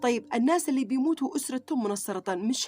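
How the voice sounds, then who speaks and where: A woman with a Sanaa accent, high-pitched and animated, with lively intonation at a moderate pace on a very clean recording with a silent background. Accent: Yemeni Arabic (Sanaani). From Yemen. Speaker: YouTuber. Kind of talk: religious vlog monologue.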